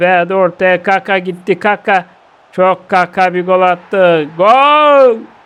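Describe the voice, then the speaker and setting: A man with a Bulgarian Thracian accent speaks very slowly at a high pitch, with ordinary pitch variation and very even loudness. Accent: Bulgarian Thracian Turkish dialect. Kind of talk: comic football commentary over video game.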